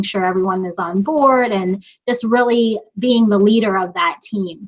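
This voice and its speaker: A woman talks at a moderate pace. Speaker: emergency medicine resident physician. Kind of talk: panel discussion. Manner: loud.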